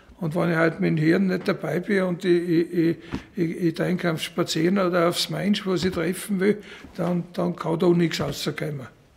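A man talks at a fairly slow pace in a high pitch. His intonation is monotone and flat. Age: 70s. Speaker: blacksmith. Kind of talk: documentary interview. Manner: halting, repetitive. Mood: reflective, warm storytelling. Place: workshop.

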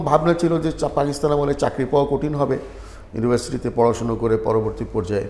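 A medium-pitched male voice with ordinary pitch variation and noticeable background noise. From Sylhet, Bangladesh. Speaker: retired medical professor and writer. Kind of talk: interview.

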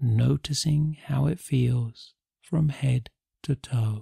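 A man's somewhat breathy voice at medium pitch, dark and mellow in tone, calm and soothing, with a dry, close sound and no echo. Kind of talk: guided meditation. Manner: slow, calm, soothing; gentle, unhurried, with pauses.

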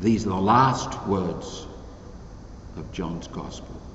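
A very slow pace with audible room echo and light background noise. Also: man. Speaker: priest presiding at mass. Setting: empty church, live-streamed online mass. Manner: earnest, measured, emphatic preaching.

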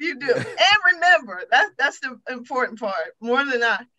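Against a quiet background, a woman speaks in a raised, projected voice. Her pitch swings very widely at a moderate pace. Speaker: church elder with doctorate; talk show guest. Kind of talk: testimony. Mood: earnest, reflective. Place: home room. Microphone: video call.

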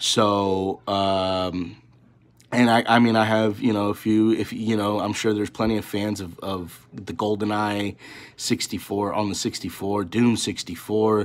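A man speaks at a very slow pace with a fairly low pitch. His intonation is monotone and flat. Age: 30s. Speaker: gaming YouTuber. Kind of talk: casual vlog talk to camera. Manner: halting, many fillers. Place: home room. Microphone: phone near.

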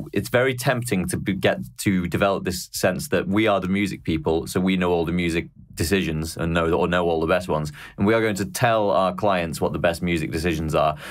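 Over a quiet background, a man with a Mancunian accent talks at a fairly quick pace in a very deep, low voice with ordinary pitch variation. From Manchester, England. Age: young. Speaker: podcast host. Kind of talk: casual interview chat. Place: home room.

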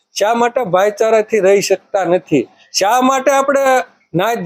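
A man speaks in an extremely high voice with ordinary pitch variation. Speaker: film producer and writer. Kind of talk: speech to cinema audience.

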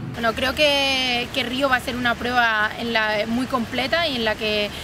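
There is noticeable background noise in a dry sound with no echo. A woman speaks at a fairly high pitch with fairly even intonation. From Spain. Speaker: triathlete. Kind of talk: interview monologue. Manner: halting, frequent word repetitions. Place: garden.

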